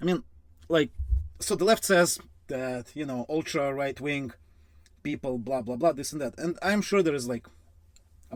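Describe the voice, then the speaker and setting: Speaking with a Russian accent, a man keeps a moderate pace. His pitch variation is ordinary. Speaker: finance youtuber. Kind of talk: casual commentary. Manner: halting, many fillers.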